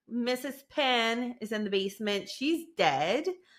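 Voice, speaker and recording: A woman with a fairly high pitch and a bright, sharp tone sounds animated, her intonation lively while her pace stays fairly slow. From Canada (French-speaking, rural area). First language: French. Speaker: law student youtuber. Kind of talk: casual true-crime commentary vlog. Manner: animated, chatty.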